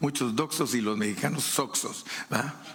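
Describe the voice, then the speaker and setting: A man of medium pitch with ordinary pitch variation is heard with audible room echo and noticeable background noise. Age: 70s. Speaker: preacher. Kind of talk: sermon.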